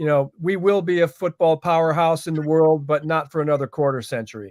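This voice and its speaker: The voice, with a Midwestern accent, sounds dry and close with no echo. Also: man. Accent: American, Midwestern. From US Midwest, Cleveland Ohio. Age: 60s. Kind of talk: interview.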